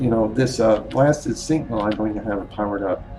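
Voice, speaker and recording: A man's voice with audible room echo and music in the background. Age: 60s. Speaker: gaming YouTuber. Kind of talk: game review commentary. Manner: halting, many fillers.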